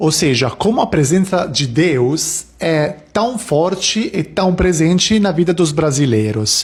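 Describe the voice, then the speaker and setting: A very slow, lively-intoned voice with an Italian accent, very even loudness and noticeable background noise. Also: man, fairly high pitch for a man. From Italy. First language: Italian (speaking Portuguese). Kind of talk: casual vlog talk.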